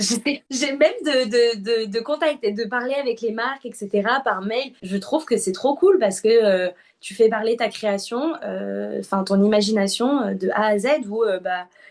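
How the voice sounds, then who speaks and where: A woman speaks with a fairly high pitch. Her pace is fairly slow, and her pitch varies in an ordinary way. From southern France. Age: 20s. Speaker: UGC content creator. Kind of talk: interview. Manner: hesitant, many fillers.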